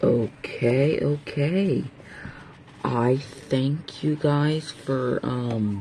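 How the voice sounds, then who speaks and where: The speaker goes at a very slow pace with ordinary pitch variation. Noticeable background noise can be heard. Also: man, medium pitch for a man. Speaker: video creator. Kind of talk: casual video narration.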